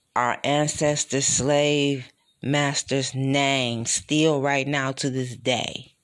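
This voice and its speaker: A man with a medium pitch against a quiet background. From Detroit, US Midwest. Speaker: podcast host. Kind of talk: solo commentary monologue. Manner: animated.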